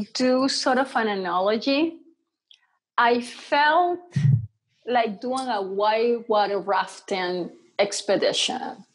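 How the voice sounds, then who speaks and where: A woman's high voice, very wide pitch swings, a very slow pace with long, frequent pauses, and a quiet background. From Venezuela. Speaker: mixed media artist; podcast guest. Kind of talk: casual interview. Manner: animated. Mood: warm, reflective. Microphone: earbuds.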